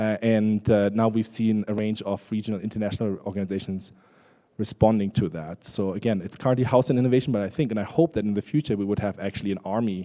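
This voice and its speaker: With a German accent and a dark, mellow tone, a man at fairly low pitch talks at a very fast pace with ordinary pitch variation, on a very clean recording with a silent background. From Germany. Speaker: international organization official, conference speaker. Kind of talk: conference presentation. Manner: conversational, with many fillers.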